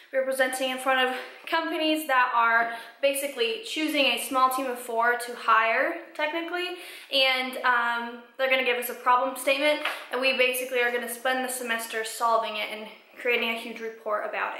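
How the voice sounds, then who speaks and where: Raising and projecting her voice, a woman with an American accent speaks at a high pitch and a fairly quick pace, with audible room echo. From Colorado. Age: 20s. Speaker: vlogger, college student. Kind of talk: reading aloud; casual vlog.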